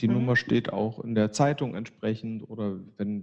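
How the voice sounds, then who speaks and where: A man speaks in an unremarkable speaking voice at a medium pitch. His pace is fairly slow and his pitch variation is ordinary. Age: 50s. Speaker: psychiatrist, chair of a community psychiatry association. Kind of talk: interview.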